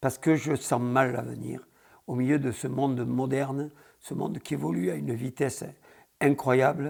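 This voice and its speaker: A medium-pitched man's voice with vocal fry, at a moderate pace. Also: ordinary pitch variation. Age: 70s. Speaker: bull breeder. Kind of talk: interview. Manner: halting.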